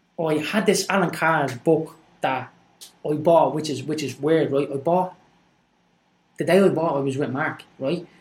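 A man with a Dublin accent talks at a fairly slow pace with long, frequent pauses. His pitch is fairly high and his intonation fairly even. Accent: Dublin Irish. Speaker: guest sharing life story. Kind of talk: casual chat.

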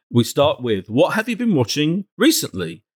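Here a man talks at a moderate pace. The recording is very clean and dry, close with no echo and a silent background. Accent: British. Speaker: podcast host. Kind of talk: casual chat.

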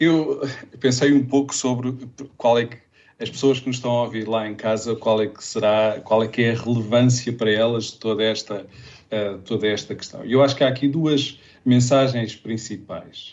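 His intonation is fairly even. The man keeps to a moderate pace. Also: medium pitch for a man. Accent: European Portuguese. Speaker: public health expert. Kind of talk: interview. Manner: halting.

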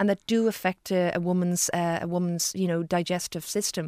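The sound is dry and close with no echo as a woman speaks at a fairly quick pace. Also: very clean recording, silent background. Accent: Irish. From Ireland. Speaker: gastroenterologist. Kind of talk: radio interview. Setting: studio.

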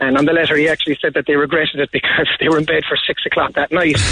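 There is noticeable background noise. A man speaks in a Cork accent. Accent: Cork Irish. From Ireland. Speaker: sports venue owner. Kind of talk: radio interview. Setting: phone call.

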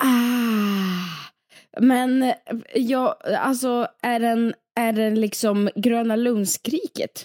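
In a dry, close sound with no echo, a woman speaks at a very slow pace, with long, frequent pauses and ordinary pitch variation. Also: fairly high pitch for a woman. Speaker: podcast co-host. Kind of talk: casual chat.

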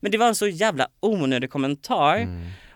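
A man with a fairly high voice speaks at a moderate pace, his sound dry and close with no echo in a very clean recording with a silent background. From Småland, Sweden (near Kalmar). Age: 20s. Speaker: TV personality and song contest participant. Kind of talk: casual interview. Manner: energetic.

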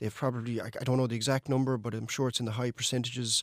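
In a very clean recording with a silent background, a man speaks at a medium pitch in a western Irish accent. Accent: Irish (west of Ireland). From Ireland, County Mayo. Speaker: energy sector engineer. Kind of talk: radio interview.

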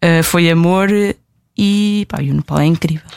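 A woman speaks with fairly even intonation. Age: 20s. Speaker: traveller and blogger. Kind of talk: interview.

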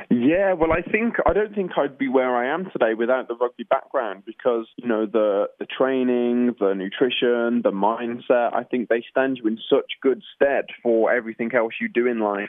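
Here a man with an English accent talks at a moderate pace. His voice is medium-pitched, with ordinary pitch variation. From England. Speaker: musical theatre actor. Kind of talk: radio interview. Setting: phone or remote call.

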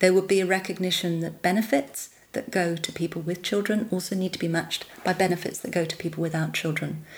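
In a London accent, a woman talks at a very fast pace. Her pitch is fairly low and her intonation fairly even. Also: hardly any pauses. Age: 50s. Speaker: childless women's advocate. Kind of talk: interview.

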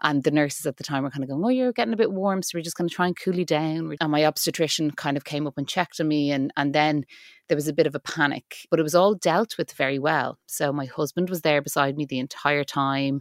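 A woman speaks at a very fast pace in an Irish accent, her pitch very deep and low with ordinary variation. The sound is dry and close with no echo, and the recording is very clean against a silent background. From Ireland. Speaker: actor and writer, mother. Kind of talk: interview, personal story.

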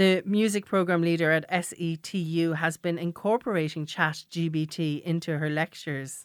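A woman with a fairly low pitch speaks with fairly even intonation and hardly any pauses. The sound is dry and close, with no echo. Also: moderate pace, very clean recording, silent background. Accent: Irish. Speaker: radio host. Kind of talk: radio magazine show.

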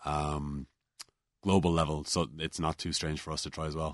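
A man with a Cork accent speaks at a moderate pace in a very deep, low pitch and a flat monotone, with a dry, close sound with no echo and a quiet background. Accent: Irish, Cork. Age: 20s. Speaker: young entrepreneur. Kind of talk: studio interview. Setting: studio.

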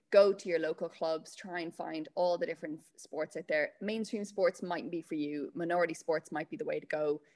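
A woman talks at a fairly quick pace with an Irish accent. Her pitch is fairly low, with ordinary variation. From Ireland, County Meath. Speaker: Olympic athlete. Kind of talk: radio interview.

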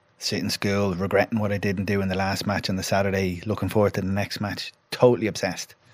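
A man with a Dublin accent, fairly low in pitch, flat and monotone, racing at a very fast pace with hardly any pauses. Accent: Irish (Dublin). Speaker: former footballer, pundit and psychotherapist. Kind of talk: casual chat.

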